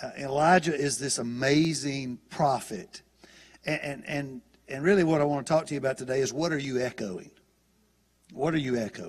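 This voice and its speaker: A man with a Southern US accent speaks at a fairly high pitch. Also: ordinary pitch variation, moderate pace. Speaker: guest preacher. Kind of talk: sermon.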